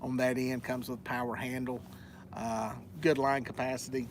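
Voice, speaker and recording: In a Southern US accent, a man speaks with monotone, flat intonation, and audible room echo surrounds his voice. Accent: southern twang. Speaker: fishing youtuber. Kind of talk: live stream Q&A. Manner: casual, many fillers.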